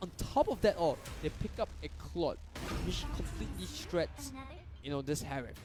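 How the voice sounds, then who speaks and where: Long, frequent pauses break up a man's moderate pace, with noticeable background noise behind him. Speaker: esports shoutcaster (analyst/co-commentator). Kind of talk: esports match commentary.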